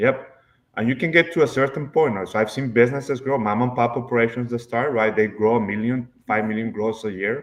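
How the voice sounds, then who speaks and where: Speaking at a fairly quick pace, a man with a Spanish accent uses ordinary pitch variation. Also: medium pitch for a man. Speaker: accountant. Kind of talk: podcast interview. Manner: hesitant, many fillers.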